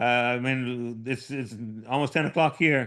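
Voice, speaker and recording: A man speaks at a moderate pace with fairly even intonation. His pitch sits in the medium range. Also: quiet background. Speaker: Parkinson's patient sharing deep brain stimulation experience. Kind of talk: personal testimony in a support group session. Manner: hesitant, with frequent repetitions.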